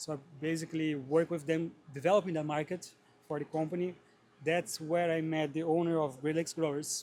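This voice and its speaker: A fairly high-pitched male voice at a fairly quick pace, in a flat monotone. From Brazil. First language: Portuguese. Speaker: greenhouse grower. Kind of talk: interview. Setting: trade show.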